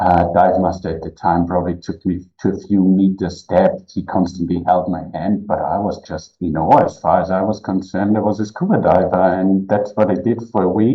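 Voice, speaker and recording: This man has a very deep, low pitch and a German accent, talking at a moderate pace in a monotone, flat intonation with hardly any pauses. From Austria. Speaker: cave diving explorer and instructor. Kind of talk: podcast interview.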